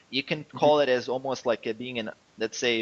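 Dry and close with no echo, a man speaks at a very fast pace with a non-native accent. His medium pitch holds a fairly even intonation. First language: not English. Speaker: online fitness coach. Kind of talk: interview. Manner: halting.

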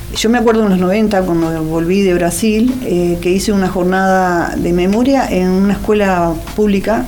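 Noticeable background noise and audible room echo surround a woman speaking at a medium pitch with ordinary pitch variation. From Buenos Aires area, Argentina (Wilde, Avellaneda). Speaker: author and social sciences teacher. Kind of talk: interview.

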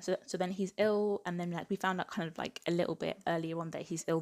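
With an English accent, a woman with a fairly low pitch talks at a very fast pace and fairly even intonation, the sound dry and close with no echo on a very clean recording with a silent background. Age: 20s. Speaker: book podcast host. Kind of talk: casual solo book review.

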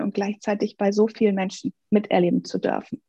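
With music in the background, a woman of fairly high pitch speaks at a fairly quick pace in a dry, close sound with no echo. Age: 40s. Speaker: life coach. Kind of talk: interview. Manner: animated.

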